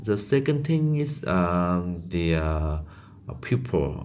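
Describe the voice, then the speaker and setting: A man speaks with a Vietnamese accent in a very deep, low voice. Audible room echo surrounds him. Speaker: English learner. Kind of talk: monologue practice. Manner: halting, many fillers.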